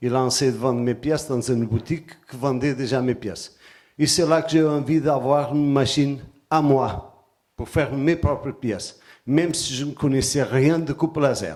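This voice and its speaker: A man speaks with a Portuguese accent in a fairly high voice, at a moderate pace. His intonation stays fairly even, and the recording is very clean with a silent background. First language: Portuguese (speaking French). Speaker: artisan and sacred geometry presenter. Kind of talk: conference talk. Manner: hesitant, with fillers.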